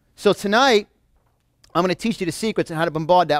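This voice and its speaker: A man with a New York accent speaks in a high pitch with an animated tone and ordinary pitch variation. The recording is very clean, with a silent background and a dry, close sound with no echo. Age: 40s. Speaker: motivational speaker. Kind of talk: motivational seminar talk. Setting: live audience in a room.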